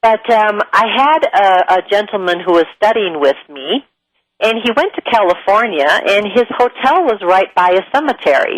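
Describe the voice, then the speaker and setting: Her pitch sits fairly high, and this woman has a Midwestern US accent. Her pitch swings very widely. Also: moderate pace, very even loudness. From US Midwest. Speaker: spiritual teacher and show host. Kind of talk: talk-show monologue. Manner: conversational, with filler words.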